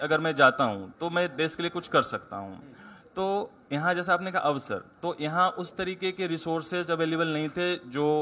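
The speaker is a man with a high pitch. He keeps a moderate pace. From Bihar, India (Jehanabad district, rural); Bihar, India. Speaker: civil services exam topper; guest. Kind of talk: interview. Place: hall. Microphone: handheld.

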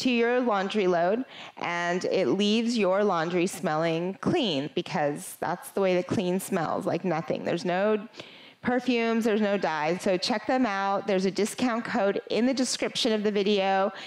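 A woman at a moderate pace with ordinary pitch variation against a quiet background. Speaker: yoga instructor. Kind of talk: sponsor intro then class introduction. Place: home room. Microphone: headset.

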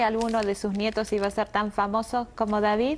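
Over light background noise, a woman speaks at a fairly quick pace and a fairly high pitch. Hers is an ordinary speaking voice. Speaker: TV news show host interviewer. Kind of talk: TV interview. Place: studio.

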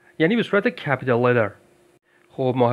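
A man's voice at medium pitch. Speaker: English teacher. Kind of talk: tutorial.

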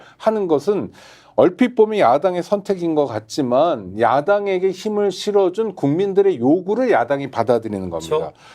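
At a moderate pace, a man speaks high in pitch with very wide pitch swings and a dark, mellow tone. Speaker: political commentator. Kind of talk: political commentary discussion.

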